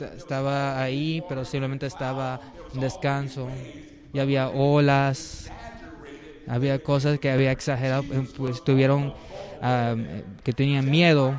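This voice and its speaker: A man with a fairly high voice speaks in a flat monotone, leaving long and frequent pauses, amid noticeable background noise and audible room echo. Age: 60s. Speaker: preacher. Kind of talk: sermon. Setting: church service. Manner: halting.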